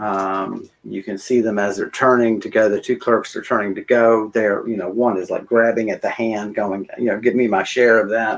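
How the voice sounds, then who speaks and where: With hardly any pauses, the talking proceeds at a moderate pace. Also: man, medium pitch for a man. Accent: American. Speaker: game master. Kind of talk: tabletop role-play session. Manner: animated.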